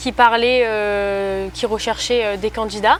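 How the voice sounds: Speaking at a moderate pace, a woman uses a fairly high pitch with fairly even intonation.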